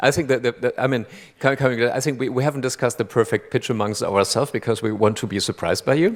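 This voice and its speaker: At a very fast pace, a man with a German accent and medium pitch talks with ordinary pitch variation in a very clean recording with a silent background. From Germany. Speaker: jury chairman. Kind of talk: stage interview. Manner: halting, many repeated words.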